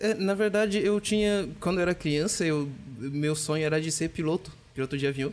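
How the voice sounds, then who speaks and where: Noticeable background noise under a fairly quick, fairly high-pitched male voice with ordinary pitch variation. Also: very even loudness. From DR Congo, Kinshasa. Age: 20s. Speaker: software developer. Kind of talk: podcast interview.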